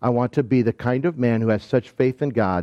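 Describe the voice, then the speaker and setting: Medium pitch from a man with an Upper Midwest accent, at a moderate pace. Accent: Upper Midwest American. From southwestern Michigan. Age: 60s. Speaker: pastor. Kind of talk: sermon.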